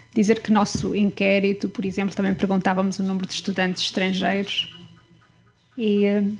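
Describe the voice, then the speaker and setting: Soft-spoken and somewhat breathy, a woman talks at a medium pitch. Her pace is moderate and her intonation flat and monotone. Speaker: academic researcher. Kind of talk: research presentation. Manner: halting, many fillers. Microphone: too quiet, too far from the mic.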